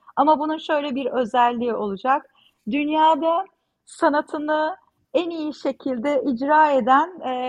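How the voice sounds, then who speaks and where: A woman's pitch shifts in an ordinary way as she talks fairly slowly. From Mersin, southern Turkey. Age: 40s. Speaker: visual artist. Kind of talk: interview conversation.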